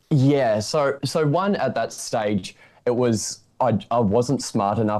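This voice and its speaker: A man speaks in an Australian accent with a dark, mellow tone and ordinary pitch variation. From regional Victoria, Australia. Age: 20s. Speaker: property investor. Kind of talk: interview.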